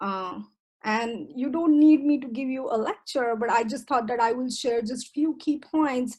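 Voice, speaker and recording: With lively intonation and a high pitch, a woman with an Indian accent speaks over a quiet background. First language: Indian language. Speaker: professor. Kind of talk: presentation talk. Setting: video call.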